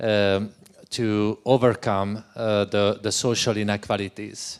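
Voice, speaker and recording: A man speaks with a Hungarian accent at a fairly low pitch. His intonation is monotone and flat. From Hungary. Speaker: education researcher. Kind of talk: panel discussion. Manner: halting.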